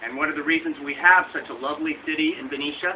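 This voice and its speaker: A man with a fairly high pitch talks at a very fast pace with ordinary pitch variation. Noticeable background noise runs underneath. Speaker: local politician. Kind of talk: public speech. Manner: loud.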